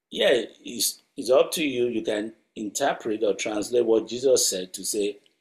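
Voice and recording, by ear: Someone is reading aloud in a natural voice against a quiet background.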